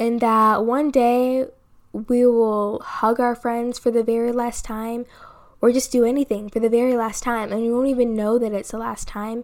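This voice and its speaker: A woman speaks at a fairly high pitch with monotone, flat intonation. The recording is very clean, with a silent background. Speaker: solo podcast host. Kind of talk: casual monologue. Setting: home recording at microphone. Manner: fast.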